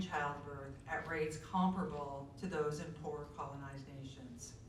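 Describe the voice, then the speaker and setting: Over noticeable background noise, a woman speaks fairly slowly with lively intonation. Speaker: community member reader. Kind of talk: reading aloud from a book at a community event.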